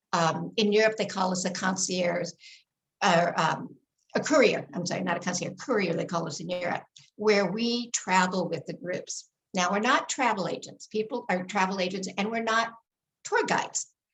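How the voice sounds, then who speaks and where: A woman's somewhat breathy voice, medium in pitch, moves at a moderate pace with ordinary pitch variation. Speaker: tour director and trainer. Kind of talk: online talk. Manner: animated.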